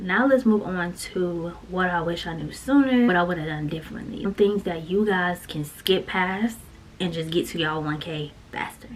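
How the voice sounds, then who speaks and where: With noticeable background noise, a woman speaks at a moderate pace in a medium pitch with lively intonation. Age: 30s. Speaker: YouTuber. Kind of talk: casual vlog talk with tips. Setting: home content room. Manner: animated.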